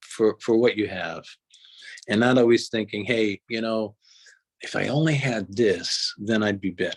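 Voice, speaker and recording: The recording is dry and close with no echo as a man speaks at a medium pitch with ordinary pitch variation. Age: 60s. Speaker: recovering addict telling his story. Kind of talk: interview. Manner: halting, many repetitions and fillers.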